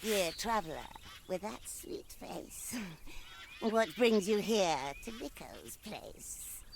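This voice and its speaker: A put-on character voice at a fairly high pitch, very slow with long, frequent pauses, over clear background noise. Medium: video game. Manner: speaks in rhymes, mocking.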